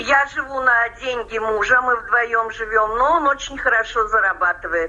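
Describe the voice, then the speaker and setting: Against noticeable background noise, a woman speaks at a fairly slow pace with a fairly high pitch and ordinary pitch variation. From Russian Far East, Amur region. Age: 60s. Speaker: emigrant pensioner-to-be, former English teacher. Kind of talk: interview.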